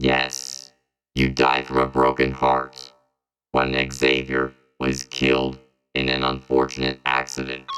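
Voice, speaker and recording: In a put-on character voice, very deep and low, the speaker talks at a fairly slow pace with monotone, flat intonation. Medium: audio drama. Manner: stiff, formal, mechanical phrasing.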